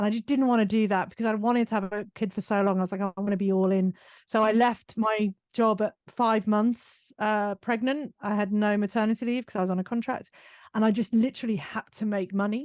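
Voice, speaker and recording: A woman with a British accent speaks fairly quickly in a fairly high pitch, her intonation fairly even. The sound is dry and close with no echo, over a quiet background. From UK. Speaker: business owner and author. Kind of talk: interview conversation.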